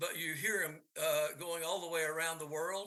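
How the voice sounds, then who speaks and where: With a bright, sharp tone, a man talks at a moderate pace in a high pitch and with fairly even intonation. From East Tennessee. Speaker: amateur radio speaker, former broadcast engineer. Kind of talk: technical presentation and Q&A. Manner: hesitant, many fillers.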